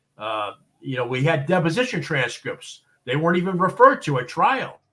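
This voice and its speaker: Fairly quick, fairly high male voice with an American accent, bright, sharp tone, vocal fry and very wide pitch swings. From Boston, US. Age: 60s. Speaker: expert witness and consultant. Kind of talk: interview on live show. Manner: hesitant, many fillers and repeats.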